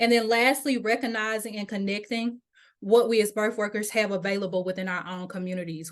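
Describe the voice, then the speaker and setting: A Mississippi accent at a fairly quick pace, fairly even in intonation, over a quiet background. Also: woman. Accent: Mississippi twang. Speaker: doula program leader and birth worker advocate. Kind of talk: webinar presentation. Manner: fast.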